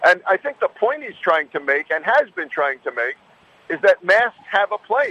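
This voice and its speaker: This man's voice is raised and projected, high-pitched, with very wide pitch swings. It moves at a moderate pace in a dry, close sound with no echo. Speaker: doctor, medical commentator. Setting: phone call.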